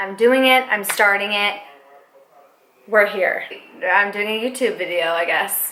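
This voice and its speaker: A woman speaks at a fairly slow pace with lively intonation. Audible room echo is present in the recording. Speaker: makeup artist and beauty vlogger. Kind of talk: makeup tutorial vlog. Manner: casual, rambling, self-conscious.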